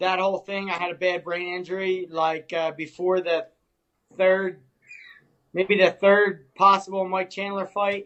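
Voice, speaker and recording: A man's high, bright, sharp voice in a Philadelphia accent, fairly slow, with monotone, flat intonation. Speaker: MMA fighter. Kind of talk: podcast interview answer.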